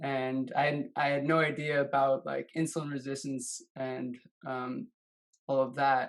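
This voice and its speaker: Speaking at a fairly slow pace, the man has a fairly high pitch and a monotone, flat intonation. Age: 20s. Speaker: guest sharing health story. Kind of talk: interview testimony.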